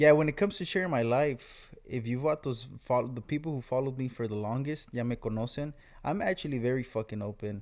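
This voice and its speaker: A man's medium-pitched voice at a very fast pace, with ordinary pitch variation and hardly any pauses. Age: 20s. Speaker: Navy sailor. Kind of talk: casual chat. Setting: home recording sharing one mic.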